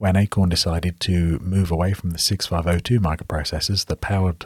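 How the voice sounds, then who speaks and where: A man with a British accent, a very deep, low pitch and a somewhat breathy sound, talking at a very fast pace with fairly even intonation. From England. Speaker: software developer.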